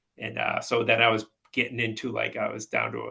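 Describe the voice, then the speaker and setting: This voice has a Boston accent. The pace is fairly quick. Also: man. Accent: Boston-area New England. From Massachusetts, Peabody. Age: 60s. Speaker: house painter. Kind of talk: casual chat.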